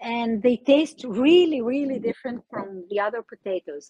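Against quiet surroundings, a woman talks with lively intonation. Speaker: remote guest. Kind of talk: interview answer. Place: open country. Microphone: video call.

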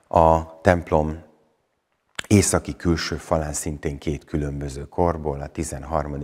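A very slow delivery in a monotone with flat intonation. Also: man, quiet background. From Partium, Satu Mare (Szatmárnémeti), Romania; Romania. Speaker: Reformed pastor and buffalo farmer; Reformed pastor. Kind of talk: interview, explaining church history. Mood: calm, informative. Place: church. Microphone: lapel.

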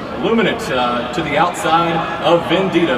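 With loud noise all around, a man keeps to a medium tempo. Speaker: horse race caller. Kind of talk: live horse race call. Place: booth.

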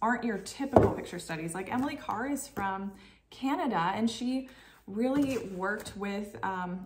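A woman at a medium pitch with an ordinary speaking voice, lively intonation and a moderate pace, over light background noise. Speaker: homeschooling parent vlogger. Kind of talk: casual tutorial vlog. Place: kitchen. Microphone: camera far.

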